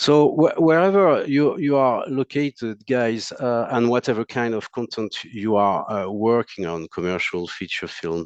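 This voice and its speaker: In a French accent, a man of medium pitch talks at a fairly slow pace with hardly any pauses and very wide pitch swings, the sound dry and close with no echo. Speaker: monitor technical support specialist. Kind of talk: technical presentation. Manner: halting, many fillers.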